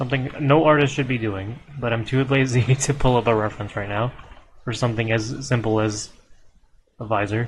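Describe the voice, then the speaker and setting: A man's somewhat breathy voice at a fairly quick pace, with fairly even intonation. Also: medium pitch for a man. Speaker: streamer drawing art. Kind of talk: casual live stream chat while drawing.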